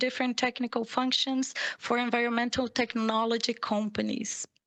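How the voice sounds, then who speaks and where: Speaking at a moderate pace with hardly any pauses, a woman with a high pitch holds a monotone, flat intonation and very even loudness. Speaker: panel moderator. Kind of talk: panel moderation. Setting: video call. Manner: formal.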